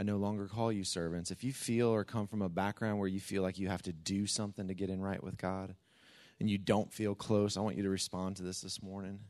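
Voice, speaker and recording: Against a quiet background, a man with an unremarkable speaking voice and fairly low pitch talks at a moderate pace. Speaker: church pastor. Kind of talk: church announcements and prayer. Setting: church.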